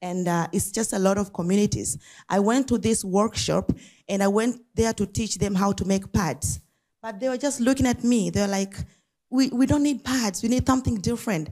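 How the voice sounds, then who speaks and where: A woman speaks at a moderate pace in a medium-pitched, somewhat breathy voice with a dark, mellow tone. The recording is very clean, with a silent background. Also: ordinary pitch variation. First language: not English. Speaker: nonprofit founder. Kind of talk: talk at an event. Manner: some hesitation and repetition.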